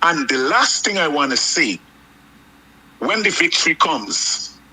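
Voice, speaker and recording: Very wide pitch swings run through a man's speech. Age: 60s. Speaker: political commentator. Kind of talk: political talk.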